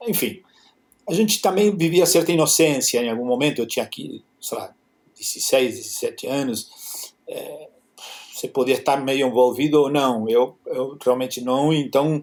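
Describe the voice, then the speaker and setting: A man at a fairly high pitch with ordinary pitch variation and a moderate pace. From Argentina, Buenos Aires. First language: Spanish (speaking Portuguese). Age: 60s. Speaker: photographer. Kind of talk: interview. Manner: halting.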